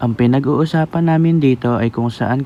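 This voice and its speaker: Dark, mellow male voice, fairly quick in pace, its pitch varying in an ordinary way. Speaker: vlogger. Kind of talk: casual vlog narration.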